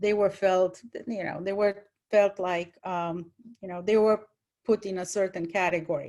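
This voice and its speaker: A woman with a Romanian accent is heard on a very clean recording with a silent background. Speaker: retired college English teacher, panelist. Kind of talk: panel talk, personal story.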